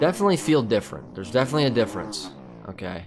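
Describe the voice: A man talks at a fairly quick pace with a fairly bright tone.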